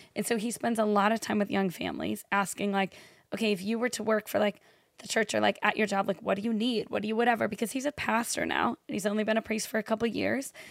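In a very clean recording with a silent background, a woman with a fairly high voice and vocal fry talks at a very fast pace with fairly even intonation. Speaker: podcast co-host. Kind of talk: casual chat.

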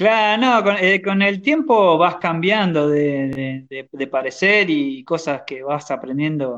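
A man's high voice at a very slow pace, with hardly any pauses, lively intonation and a quiet background. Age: 30s. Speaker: podcast host, hobby woodworker. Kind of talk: casual chat.

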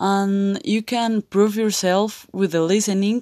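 A woman with a Spanish accent at a medium pitch and a fairly slow pace, in a dry, close sound with no echo, on a very clean recording with a silent background. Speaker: college student and English learner. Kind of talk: monologue, language practice. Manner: halting, many hesitations.

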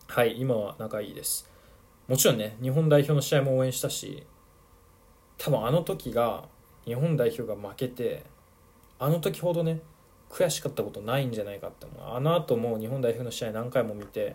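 At a moderate pace and medium pitch, a somewhat breathy man speaks with ordinary pitch variation and big swings in loudness. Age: 20s. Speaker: football podcaster and youth coach. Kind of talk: solo podcast monologue. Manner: casual, with many fillers.

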